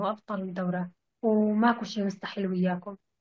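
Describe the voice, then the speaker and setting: A woman speaks at a medium pitch with a Kurdish accent. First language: Kurdish (speaking Arabic). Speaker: language student. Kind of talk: interview. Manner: halting.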